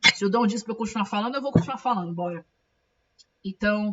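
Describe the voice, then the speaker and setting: Her voice is somewhat breathy. This woman keeps her intonation fairly even. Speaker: comic book artist and streamer. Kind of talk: casual live stream chat. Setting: live stream. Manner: talkative, fast.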